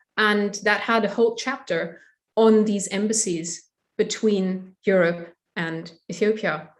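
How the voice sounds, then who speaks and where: In a German accent, a woman talks at a fairly slow pace with fairly even intonation. Her pitch is medium. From Germany. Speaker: historian. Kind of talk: academic interview. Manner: hesitant with fillers.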